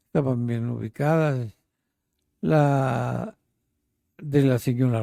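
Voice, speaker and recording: A man talks at a medium pitch. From Mexico City. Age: 80s+. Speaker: interviewee, elderly resident. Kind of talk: interview, life story. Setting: at his home.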